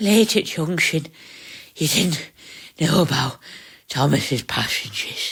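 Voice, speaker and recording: Using a put-on character voice, a female-sounding speaker talks fairly slowly, with a fairly low pitch and long, frequent pauses. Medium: read story. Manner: eager, breathless.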